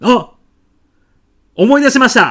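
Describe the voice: A put-on character voice swings widely in pitch, moving at a slow pace with a bright, sharp tone and a slightly husky edge. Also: man.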